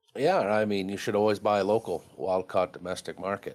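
A man with a Maine accent talks at a very fast pace. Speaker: commercial fisherman. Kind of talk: interview.

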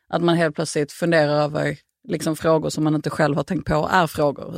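A woman's very deep, low voice, monotone and flat, dry and close with no echo, on a very clean recording with a silent background. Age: 30s. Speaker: author. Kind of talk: casual chat.

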